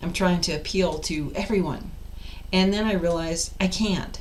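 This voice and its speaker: A woman with a fairly low pitch talks at a moderate pace with ordinary pitch variation, and audible room echo surrounds her. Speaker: life coach. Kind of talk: casual vlog monologue. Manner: loud.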